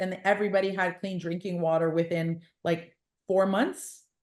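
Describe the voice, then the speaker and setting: With a Canadian accent, a woman talks at a moderate pace in a plain, everyday voice, her pitch medium and her intonation fairly even. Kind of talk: podcast interview.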